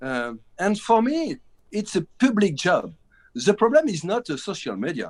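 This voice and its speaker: A man with a high pitch and a French accent speaks with very wide pitch swings. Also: moderate pace. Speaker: film director. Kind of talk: interview. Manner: halting.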